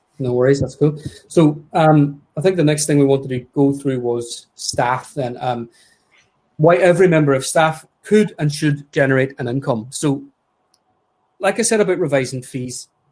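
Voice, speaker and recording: This man's voice sits at a fairly high pitch. It comes across as somewhat breathy. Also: ordinary pitch variation. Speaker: podiatry practice owner and webinar co-host. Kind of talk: webinar presentation. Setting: live webinar. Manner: fast.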